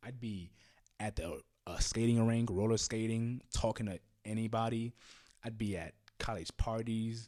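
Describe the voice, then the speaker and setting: The recording is very clean with a silent background as a man with a fairly low pitch speaks at a fairly slow pace in a normal speaking voice. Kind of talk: casual talk to camera. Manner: casual, frank, uses profanity.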